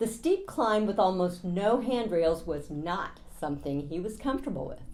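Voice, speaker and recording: A woman at a moderate pace with very wide pitch swings, in audible room echo. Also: medium pitch for a woman. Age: 60s. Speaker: travel vlogger. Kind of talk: scripted narration.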